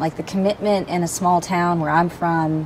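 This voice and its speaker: Fairly low-pitched woman's voice with a Southern accent, fairly even intonation and noticeable background noise. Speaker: interview guest. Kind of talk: casual chat.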